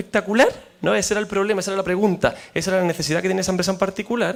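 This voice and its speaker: A man's voice, high in pitch. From Spain. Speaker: professor and researcher. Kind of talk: panel discussion. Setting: seminar panel with audience.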